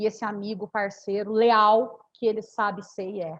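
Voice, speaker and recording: Somewhat breathy speech at a moderate pace. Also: woman. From Minas Gerais, Brazil (small town near Uberaba). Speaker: lawyer. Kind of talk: live panel talk.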